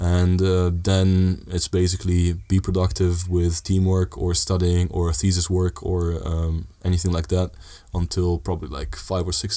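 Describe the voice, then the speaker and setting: A man speaks at a moderate pace. His very deep, low voice has a dark, mellow tone. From Italy (Sardinia), Dutch-Italian family. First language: Italian (also Dutch). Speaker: student. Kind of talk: casual chat.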